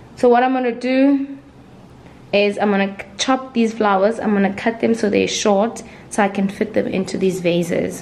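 The woman's pitch varies in an ordinary way as she speaks at a moderate pace. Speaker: lifestyle vlogger. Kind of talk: casual vlog chat. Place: home room. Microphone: phone near.

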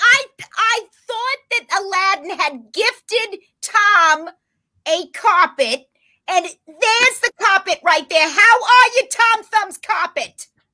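A put-on character voice, slow in pace, with lively intonation and a bright, sharp tone

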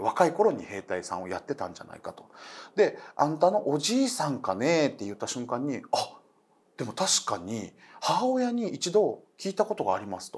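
The voice uses vocal fry and very wide pitch swings. Its loudness swings a lot at a moderate pace. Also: man. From Okinawa; Japan. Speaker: comedian and ghost story teller; comedian, ghost story teller. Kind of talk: storytelling. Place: studio.

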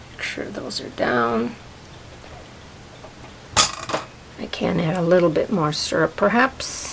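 Fairly slow speech with noticeable background noise. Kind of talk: tutorial. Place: kitchen.

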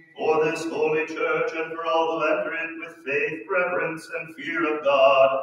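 In a room with strong echo, a man talks at a fairly slow pace with monotone, flat intonation. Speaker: priest. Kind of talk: intoned liturgical litany. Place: church. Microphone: camera far.

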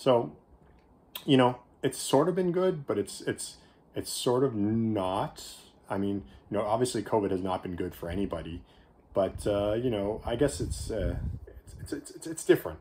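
A man with a Canadian accent and a dark, mellow tone speaks with very wide pitch swings and long, frequent pauses. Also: moderate pace. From Canada. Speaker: candy reviewer YouTuber; candy reviewer. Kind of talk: casual vlog monologue. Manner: hesitant, many fillers. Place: home room. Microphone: phone near.

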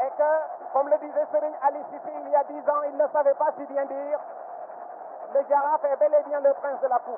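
A man speaks at a fairly quick pace in an extremely high pitch, with an excited tone. He leaves long, frequent pauses over noticeable background noise. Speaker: football radio commentator. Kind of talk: live sports commentary. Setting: stadium. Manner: fast, excited play-by-play delivery, rising to a shout at the goal and the final whistle.

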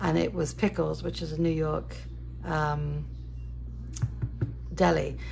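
Fairly even intonation and vocal fry, at a moderate pace. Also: woman.

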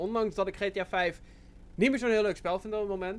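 The man's pace is fairly quick. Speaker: gaming youtuber. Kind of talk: casual vlog chat.

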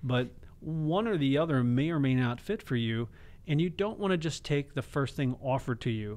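A man's normal speaking voice, fairly high in pitch, at a fairly quick pace. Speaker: financial advisor; radio show financial host. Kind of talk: radio show. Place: studio. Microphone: close to the mic; studio mic.

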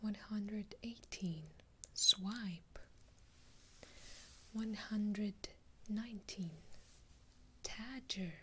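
A soft-spoken woman talks very slowly with long, frequent pauses and fairly even intonation. Her tone is bright and sharp, and background noise is noticeable. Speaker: video creator. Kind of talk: casual vlog chat. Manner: soft-spoken, hushed ASMR counting. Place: home room.

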